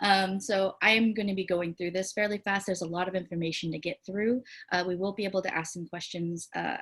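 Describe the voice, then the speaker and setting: A woman at a medium pitch talks fairly quickly in a plain, everyday voice with ordinary pitch variation. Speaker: community organization director and presenter. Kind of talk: online presentation.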